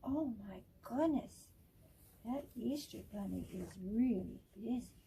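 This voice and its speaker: A woman puts on a character voice with a fairly high pitch. She speaks at a fairly slow pace. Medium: read story.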